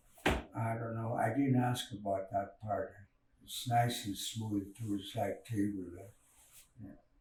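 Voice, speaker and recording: A man speaks at a fairly slow pace in a monotone, flat intonation. His voice is somewhat breathy, with big swings in loudness. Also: medium pitch for a man. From Canada, Dakelh First Nation (central British Columbia). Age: old. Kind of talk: oral storytelling. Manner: halting.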